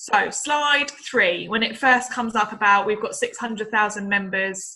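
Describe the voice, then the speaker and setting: Her voice is bright and sharp, a woman's with fairly high pitch and ordinary pitch variation. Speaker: utility sales agent. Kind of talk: training talk. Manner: fast.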